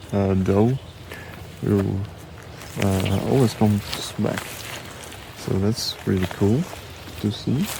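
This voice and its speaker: Soft-spoken and very slow, a man with a fairly low pitch and ordinary pitch variation leaves long, frequent pauses over noticeable background noise. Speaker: nature photographer vlogger. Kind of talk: casual vlog narration. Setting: outdoors.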